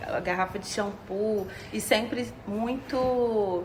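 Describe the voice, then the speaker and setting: A woman with a Minas Gerais accent and fairly even intonation, amid noticeable background noise and audible room echo. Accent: sounds like a Minas Gerais. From Brazil, interior of Rio state near Minas Gerais. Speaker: psychologist and singer-songwriter. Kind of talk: podcast interview. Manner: hesitant, many fillers.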